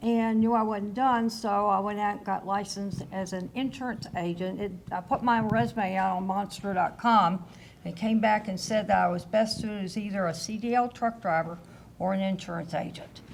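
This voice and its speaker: This speaker talks at a moderate pace with fairly even intonation in a Southern US accent. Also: woman. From Kentucky, US South. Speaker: insurance agent, retired finance executive. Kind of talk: panel discussion.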